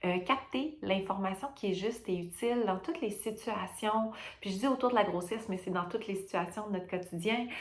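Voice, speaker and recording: A woman with a Quebec accent and a medium pitch speaks at a fairly quick pace with ordinary pitch variation, amid noticeable background noise and audible room echo. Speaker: perinatal care worker. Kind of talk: testimony. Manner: hesitant, many fillers.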